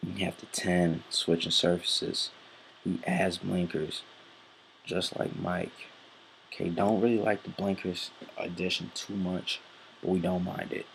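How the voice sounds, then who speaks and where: The speaker is soft-spoken and moves at a fairly slow pace. Long, frequent pauses break up the speech. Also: man. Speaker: horse racing handicapper. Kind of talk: handicapping tutorial. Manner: halting, many fillers.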